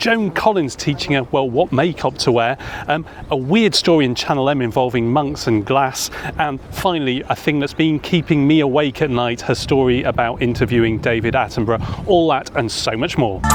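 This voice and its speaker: A man with a medium pitch speaks at a moderate pace with very even loudness. Noticeable background noise runs behind him. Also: ordinary pitch variation. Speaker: podcast host. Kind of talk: podcast interview questions.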